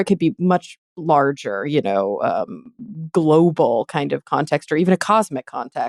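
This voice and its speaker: A woman's fairly low voice at a fairly slow pace, dry and close with no echo, on a very clean recording with a silent background. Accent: American. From Texas. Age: 30s. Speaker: podcast host. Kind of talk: interview. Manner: halting, many fillers.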